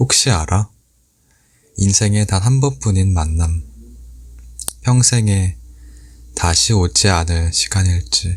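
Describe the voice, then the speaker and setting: A man talks very slowly with long, frequent pauses in a very deep, low, somewhat breathy voice. His tone is calm and gentle, his loudness very even, and his intonation lively. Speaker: audiobook reader / ASMR channel host. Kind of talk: book reading, ASMR-style essay narration. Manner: soft, calm, gentle.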